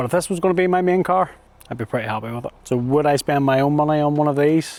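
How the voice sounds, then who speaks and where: Speaking at a very fast pace, a man talks with a British accent. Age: 40s. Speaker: car reviewer. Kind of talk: product review; video outro. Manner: casual.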